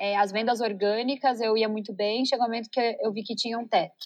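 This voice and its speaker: A woman with a fairly high pitch speaks at a moderate pace with fairly even intonation. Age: 30s. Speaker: entrepreneur, company CEO. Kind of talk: interview conversation.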